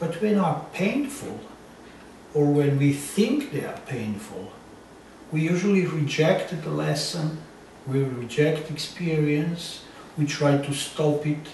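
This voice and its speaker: A man speaks at a very slow pace with a strong non-native accent, leaving long, frequent pauses. The room echo is audible, and there is noticeable background noise. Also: fairly high pitch for a man, ordinary pitch variation. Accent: thick foreign. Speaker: psychotherapist. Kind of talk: interview. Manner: halting.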